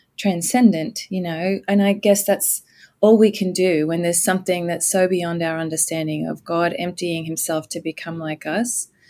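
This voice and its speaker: Over a very clean recording with a silent background, a woman with an American accent speaks at a moderate pace and fairly low pitch, her tone dark and mellow and her intonation fairly even. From Australia. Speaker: pastor. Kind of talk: interview conversation about scripture.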